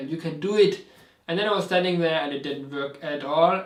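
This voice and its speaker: A man talks fairly quickly at a high pitch with ordinary pitch variation. There is noticeable background noise. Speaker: person who stutters. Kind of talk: personal story told to camera. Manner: stuttering, halting.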